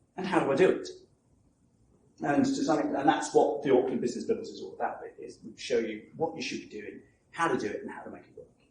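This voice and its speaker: Talking very fast, a man swings widely in loudness, with audible room echo around him. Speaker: marketing coach. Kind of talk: seminar talk. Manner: animated.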